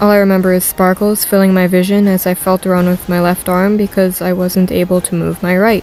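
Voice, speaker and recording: Medium-pitched, fairly even speech from a woman at a moderate pace, with music in the background. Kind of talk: story read-along narration.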